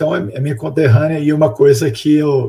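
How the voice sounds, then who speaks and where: Speaking at a moderate pace, a man sounds somewhat breathy, and his pitch varies in an ordinary way. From Minas Gerais, Brazil (Belo Horizonte). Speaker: researcher with a doctorate in information management. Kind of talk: interview.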